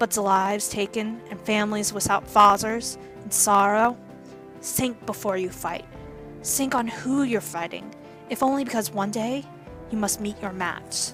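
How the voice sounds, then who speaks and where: A woman's medium-pitched voice at a fairly slow pace with ordinary pitch variation, long, frequent pauses and music in the background. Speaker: reading teacher. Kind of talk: audiobook reading of young adult fiction.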